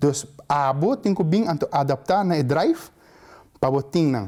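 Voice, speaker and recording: Fairly high in pitch, a man with an Aruban accent talks in a dark, mellow tone. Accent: Aruban Papiamento. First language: Papiamento (speaking Portuguese). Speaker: student giving advice. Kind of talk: interview monologue.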